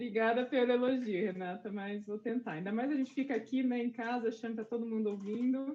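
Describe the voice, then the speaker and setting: A woman's voice, dark and mellow in tone, sits at a fairly high pitch with ordinary pitch variation. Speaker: scientist, panelist. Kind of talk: panel discussion. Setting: video call from home. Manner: soft-spoken. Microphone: headset, too quiet.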